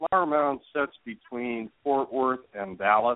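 A man with an American accent speaks at a fairly slow pace in a medium pitch. His is an unremarkable speaking voice. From Ohio, US Midwest. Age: 50s. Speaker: youth softball hitting and pitching coach. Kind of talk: interview. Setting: phone call.

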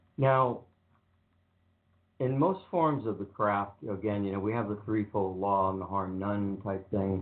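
A man's fairly low-pitched voice at a fairly slow pace, with ordinary pitch variation and audible room echo

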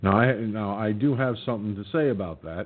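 At a fairly quick pace, a man speaks with a fairly low pitch and ordinary pitch variation.

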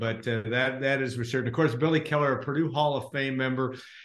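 An unremarkable speaking voice, this man talks at a fairly quick pace with a medium pitch and ordinary pitch variation. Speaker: interviewer host. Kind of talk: casual interview chat. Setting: video call.

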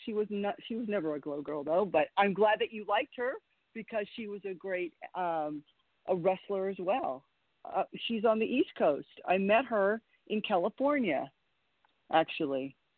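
A woman's medium-pitched voice with lively intonation and long, frequent pauses. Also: moderate pace. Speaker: women's wrestler. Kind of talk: casual chat. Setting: phone call.

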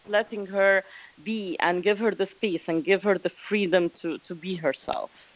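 Speaking at a moderate pace with an Arabic accent, the voice keeps a fairly even intonation. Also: woman, medium pitch for a woman. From Egypt, Alexandria. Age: 40s. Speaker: life coach. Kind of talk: interview.

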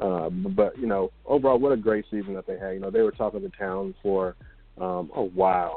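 An unremarkable speaking voice, this man talks at a fairly quick pace with a fairly low pitch and fairly even intonation. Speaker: radio host. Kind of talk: casual chat.

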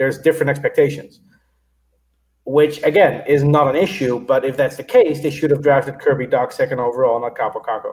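This man has a fairly high pitch and a somewhat breathy voice. He talks at a fairly quick pace. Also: ordinary pitch variation. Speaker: hockey fan and blogger. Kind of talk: casual chat. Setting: video call.

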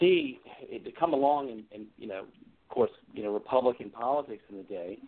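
Speaking at a moderate pace and medium pitch, a man has a plain, everyday voice. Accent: American. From Virginia, Hampton Roads. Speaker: political candidate. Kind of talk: interview.

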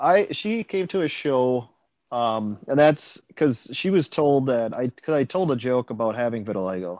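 A man with an American accent and lively intonation, a normal speaking voice. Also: medium pitch for a man, moderate pace. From central Wisconsin. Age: 40s. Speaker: stand-up comedian. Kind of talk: casual interview.

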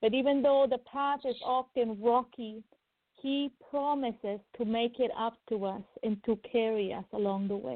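With an unremarkable speaking voice, a woman talks at a moderate pace and a fairly high pitch, keeping her intonation fairly even. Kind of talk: prophetic prayer. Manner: fervent.

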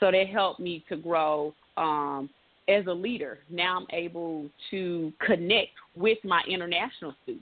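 A woman speaks at a fairly low pitch with a Memphis accent. Her pace is fairly slow and her pitch varies in an ordinary way. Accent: Southern American (Memphis). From US South, Memphis, Tennessee. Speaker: college athletics compliance administrator. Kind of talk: interview.

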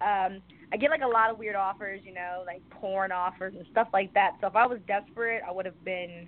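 Speaking at a fairly quick pace, a woman with an American accent has a medium pitch and fairly even intonation. Her loudness swings widely. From New York City, the Bronx. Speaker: model, actress and rapper. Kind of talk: interview.

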